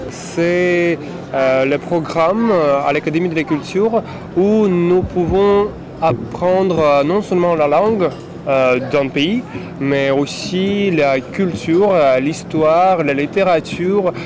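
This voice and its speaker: With noticeable background noise behind him, a man with a Russian accent talks at a very slow pace in a high pitch, with ordinary pitch variation and very even loudness. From Latvia. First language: Russian (speaking French). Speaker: interviewee, graduate. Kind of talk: interview testimony.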